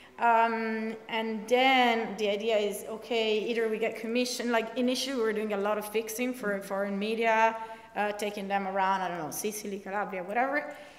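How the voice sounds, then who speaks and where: With an Italian accent, a woman talks at a fairly quick pace with hardly any pauses and monotone, flat intonation, in audible room echo. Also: fairly high pitch for a woman. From Italy. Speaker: investigative reporter. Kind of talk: panel discussion. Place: meeting room.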